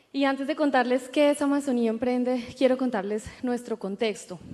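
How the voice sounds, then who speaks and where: A woman talks at a high pitch with fairly even intonation. Noticeable background noise is present. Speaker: entrepreneur, co-founder. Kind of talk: panel discussion. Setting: stage with audience.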